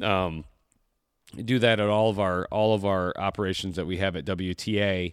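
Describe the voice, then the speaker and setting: A man with an American accent speaks in a plain, everyday voice at a moderate pace. His pitch is fairly low and his intonation fairly even. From Michigan. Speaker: podcast host, hunting trip booking. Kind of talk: casual interview chat. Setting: remote call.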